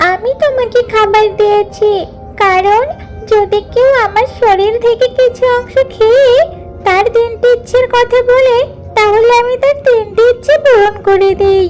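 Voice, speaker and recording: A woman uses a cartoonish character voice with an extremely high pitch, speaking at a fairly slow pace. Clear music plays in the background. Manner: gentle, generous.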